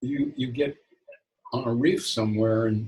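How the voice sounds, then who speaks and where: A man speaks at a fairly slow pace with a medium pitch. His voice is somewhat breathy, with ordinary pitch variation. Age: 70s. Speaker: spiritual author. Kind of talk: interview. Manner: halting, with frequent repetitions.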